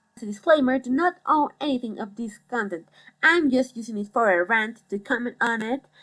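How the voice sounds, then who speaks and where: A woman speaks with a Mexican accent. Her intonation is lively. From Mexico City, Mexico. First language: Spanish. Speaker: psychology student, commentary YouTuber. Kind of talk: rant commentary. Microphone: phone headphone mic, poor audio.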